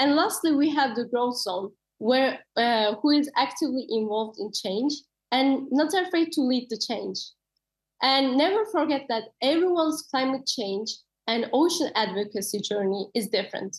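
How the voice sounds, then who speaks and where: A woman speaks at a moderate pace with a high pitch. Her intonation is lively. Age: 20s. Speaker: ocean advocate. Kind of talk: interview answer; presentation talk. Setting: webinar video call. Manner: hesitant with fillers.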